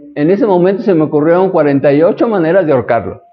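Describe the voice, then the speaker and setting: A man's fairly high pitch with ordinary variation, in audible room echo. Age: 60s. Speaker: astrology teacher. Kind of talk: lecture. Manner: conversational.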